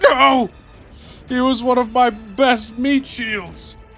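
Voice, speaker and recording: Faint music plays in the background as a put-on character voice, fairly high in pitch, speaks at a very slow pace. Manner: shrieking.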